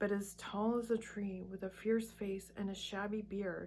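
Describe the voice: Someone reads aloud in a plain way.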